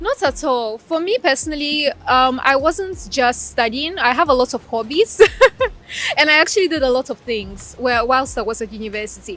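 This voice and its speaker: A woman speaks with a high voice and a Russian accent. Her pace is moderate. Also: lively intonation. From Ukraine (Crimea) and Ghana. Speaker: law graduate. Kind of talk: interview.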